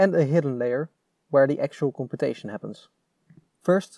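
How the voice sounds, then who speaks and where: A man with a Dutch accent speaks at a fairly quick pace in a fairly high pitch, recorded very cleanly against a silent background with a dry, close sound and no echo. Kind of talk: technical explainer narration.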